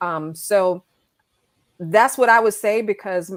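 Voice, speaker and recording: Woman at a moderate pace with ordinary pitch variation. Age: 50s. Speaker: breast cancer survivor. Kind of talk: casual chat. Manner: animated.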